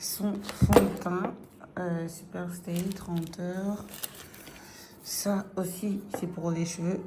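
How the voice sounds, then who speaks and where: Slowly, with long, frequent pauses, a woman talks at a fairly low pitch in a flat monotone, amid audible room echo and noticeable background noise. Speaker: vlogger. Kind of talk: casual vlog. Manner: hesitant, many fillers.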